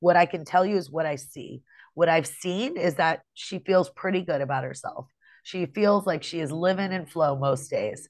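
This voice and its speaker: A plain, everyday voice from a woman, fairly low in pitch with ordinary pitch variation, at a moderate pace against a quiet background. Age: 40s. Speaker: podcast co-host, human design reader. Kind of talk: casual chat.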